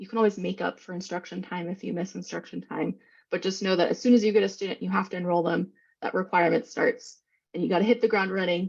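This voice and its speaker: A woman speaks at a very fast pace in a medium pitch with vocal fry. Her intonation is fairly even, and the background is quiet. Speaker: presenter on special education law. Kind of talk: webinar presentation.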